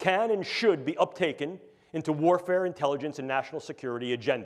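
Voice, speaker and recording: At a very fast pace, a man talks in a New York accent. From New York City. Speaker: neuroscience professor. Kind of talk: lecture. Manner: animated.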